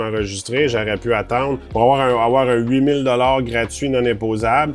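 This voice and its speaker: With a Quebec accent, a man speaks at a very fast pace and medium pitch, his intonation fairly even, over noticeable background noise. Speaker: financial planner. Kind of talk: advice monologue. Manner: casual.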